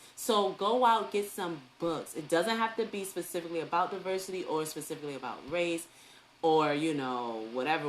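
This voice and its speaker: A woman speaks with a New York accent in a very deep, low voice. Her tone is animated. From New York City. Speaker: early education teacher and online talk host. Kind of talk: live online talk. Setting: live stream on social media.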